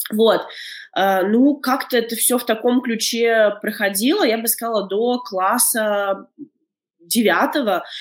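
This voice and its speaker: This woman's speech is very slow. Long pauses come often. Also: fairly high pitch for a woman, ordinary pitch variation. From Latvia, Daugavpils. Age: 30s. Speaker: documentary filmmaker. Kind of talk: interview. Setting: remote call.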